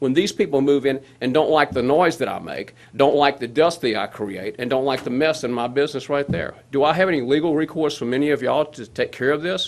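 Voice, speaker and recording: Speaking at a fairly quick pace, a man has a South Louisiana accent. His voice is fairly high with ordinary pitch variation. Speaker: resident speaking at public hearing. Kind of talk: public comment at government meeting. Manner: fast.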